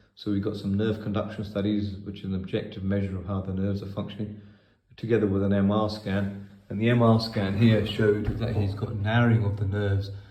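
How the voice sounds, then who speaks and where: A man's dark, mellow, somewhat breathy voice, fairly low in pitch, with monotone, flat intonation. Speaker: spinal surgeon. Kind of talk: patient case explanation.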